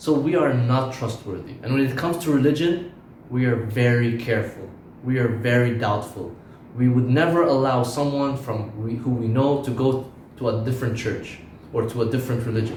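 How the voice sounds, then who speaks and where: Over noticeable background noise and audible room echo, a man talks at a fairly quick pace. His pitch is medium and his intonation fairly even. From Lebanon. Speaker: preacher. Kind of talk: sermon.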